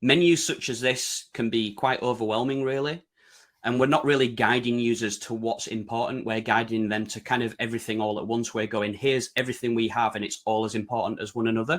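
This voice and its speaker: A speaker with a British accent talks at a fairly quick pace. The intonation stays fairly even. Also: man, medium pitch for a man. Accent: broad UK. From Yorkshire, northern England. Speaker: website design consultant presenting. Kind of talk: webinar presentation. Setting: online webinar.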